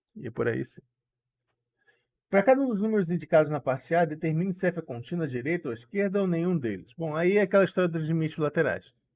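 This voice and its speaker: Against a quiet background, a man with a high pitch talks at a very fast pace with lively intonation. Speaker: math tutor. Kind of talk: live online class.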